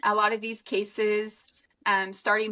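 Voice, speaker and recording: At a very slow pace, a woman speaks at medium pitch with a bright, sharp tone. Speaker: true crime content creator. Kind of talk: interview. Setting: podcast interview. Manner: slightly imperfect speech after brain clot; animated.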